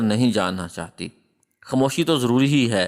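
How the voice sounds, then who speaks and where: On a very clean recording with a silent background, a man speaks in a plain, everyday voice at medium pitch with ordinary pitch variation. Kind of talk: storytelling narration of a moral tale about marriage advice, in Urdu.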